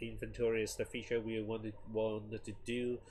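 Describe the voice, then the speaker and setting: A man's voice comes through somewhat breathy. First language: not English. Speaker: game developer streamer. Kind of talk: casual live stream talk. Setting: live stream. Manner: halting, many restarts and fillers.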